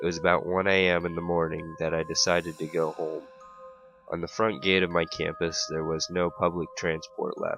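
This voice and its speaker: A man with a very deep, low pitch over music in the background. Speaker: horror story narrator. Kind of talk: reading aloud reddit stories.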